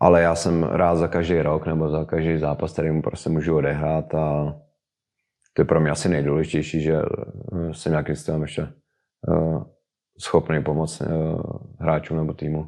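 A man speaks at a moderate pace in a very deep, low voice with a dark, mellow tone and monotone, flat intonation. He takes long, frequent pauses against a quiet background. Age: 30s. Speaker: professional footballer. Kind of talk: interview. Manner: halting.

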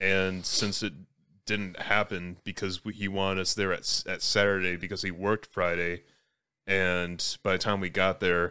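In a very clean recording with a silent background, a man talks at a fairly quick pace in a very deep, low voice with a bright, sharp tone. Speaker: podcast host. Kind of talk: casual banter among friends.

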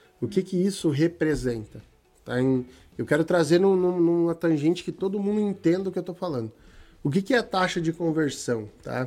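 A man speaks high in pitch yet dark and mellow in tone. His intonation is lively and his pace moderate. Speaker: digital marketing agency owner. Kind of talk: live stream chat. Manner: occasional coughing.

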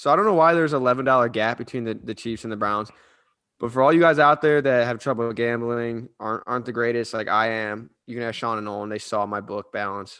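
A man in an American accent, medium-pitched with ordinary pitch variation and a bright, sharp tone, over a quiet background. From Cleveland, Ohio. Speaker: podcast co-host. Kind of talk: ad read; casual sports chat.

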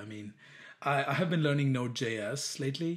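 The speaker talks at a fairly slow pace, somewhat breathy, with lively intonation. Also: man. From India. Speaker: app developer. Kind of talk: casual interview. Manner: halting, many fillers and restarts.

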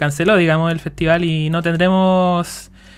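In a Chilean accent, a man speaks at a high pitch on a very clean recording with a silent background. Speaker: podcast host. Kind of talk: casual chat.

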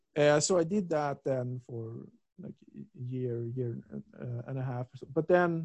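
Recorded with a dry, close sound and no echo, a man with a Swedish accent speaks at a fairly high pitch. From Sweden, Stockholm. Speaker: philosophy researcher. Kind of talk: interview. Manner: halting, many repetitions and fillers.

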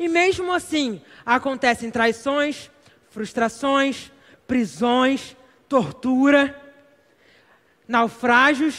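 A man with an extremely high pitch and a bright, sharp tone speaks at a very slow pace. He leaves long, frequent pauses, and his pitch varies in an ordinary way. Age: 20s. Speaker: preacher. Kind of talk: sermon. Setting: church.

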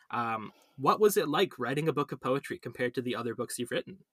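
This man speaks at a fairly high pitch with very wide pitch swings, a bright, sharp tone, and a Canadian accent, recorded with a dry, close sound and no echo. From Canada. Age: 20s. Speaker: podcast host. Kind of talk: casual interview.

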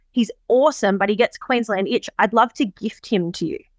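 A woman with an Australian accent and a fairly high pitch speaks at a fairly quick pace, the sound dry and close with no echo. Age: 30s. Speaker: horse farm and events business owner. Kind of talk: interview. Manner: animated.

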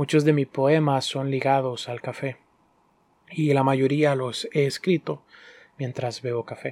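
The man's voice is fairly high and flat, monotone in delivery. He moves at a fairly slow pace with long, frequent pauses, and the sound is dry and close with no echo. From Honduras. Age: 20s. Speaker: podcast host and barista. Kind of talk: solo podcast storytelling. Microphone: professional microphone.

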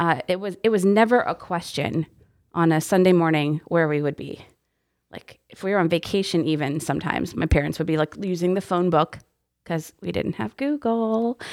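A woman with an American accent has a plain, everyday voice, fairly low in pitch, moving at a moderate pace. Her intonation is lively and her loudness swings widely, on a very clean recording with a silent background. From Texas. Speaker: youth ministry director. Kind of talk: casual interview chat. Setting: studio, windowless room.

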